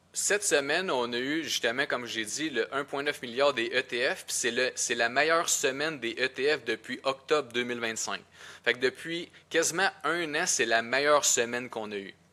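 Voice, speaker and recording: A man's bright, sharp, fairly high voice in a Quebec accent, with ordinary pitch variation and a moderate pace. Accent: Québécois French. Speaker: podcast co-host. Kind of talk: casual podcast discussion.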